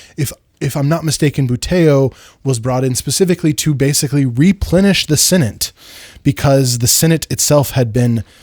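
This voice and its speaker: A man's somewhat breathy, fairly high-pitched voice with ordinary pitch variation at a moderate pace, in a dry, close sound with no echo. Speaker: history YouTuber. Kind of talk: lecture. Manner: casual, many fillers; stutters a little on military history.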